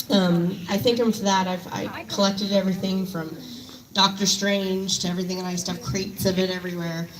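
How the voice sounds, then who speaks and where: A woman speaks at a fairly quick pace in a monotone, flat intonation. Audible room echo and noticeable background noise surround her. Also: medium pitch for a woman. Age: 30s. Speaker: fan at memorial tribute. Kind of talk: public tribute speech.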